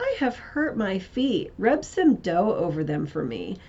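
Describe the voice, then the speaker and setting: Over light background noise, a woman speaks fairly slowly in a fairly high, put-on character voice. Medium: read story. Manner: scheming, putting on false sweetness.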